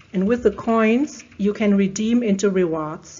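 Through noticeable background noise, a woman with a German accent speaks with lively intonation. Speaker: procurement digitalization expert. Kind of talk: interview.

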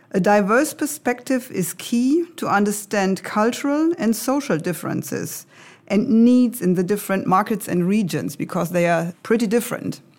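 Here a woman has an unremarkable speaking voice with a fairly high pitch and lively intonation. She talks at a moderate pace on a very clean recording with a silent background. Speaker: IT executive. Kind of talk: corporate podcast interview.

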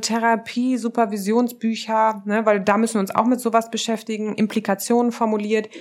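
A woman with a fairly high pitch and a normal speaking voice comes through on a very clean recording with a silent background. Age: 30s. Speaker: social psychologist and relationship researcher. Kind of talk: casual interview conversation.

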